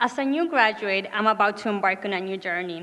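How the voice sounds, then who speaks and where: On a very clean recording with a silent background, a woman speaks at a fairly quick pace with lively intonation. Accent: Spanish. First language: Spanish. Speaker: graduate student speaker, nonprofit executive. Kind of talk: commencement speech. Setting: graduation ceremony with audience.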